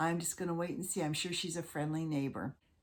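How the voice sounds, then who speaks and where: Putting on a raspy character voice, a woman rattles along at a very fast pace, fairly low in pitch and very even in loudness. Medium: solo performance. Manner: kind, sweet.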